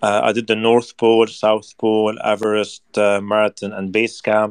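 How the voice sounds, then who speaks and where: A man talks very slowly in a fairly low, flat monotone. The sound is dry and close with no echo, on a very clean recording over a silent background. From Lebanon. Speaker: marathon runner. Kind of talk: casual interview. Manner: halting.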